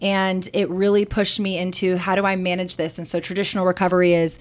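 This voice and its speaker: A woman with a Texan accent, medium in pitch, at a fairly quick pace. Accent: Texan American English. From Texas. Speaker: CBD business owner. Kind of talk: podcast interview.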